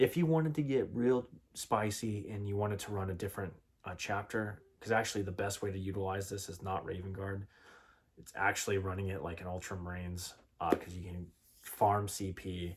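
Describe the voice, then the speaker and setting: A man's fairly low, somewhat breathy voice at a fairly quick pace, with ordinary pitch variation, on a very clean recording with a silent background. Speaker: tabletop wargaming youtuber. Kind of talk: casual tutorial. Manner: fast.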